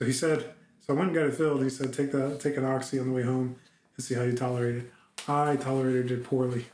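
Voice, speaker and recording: At a very fast pace, a man talks with medium pitch. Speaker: video diarist. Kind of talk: personal video diary. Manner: halting.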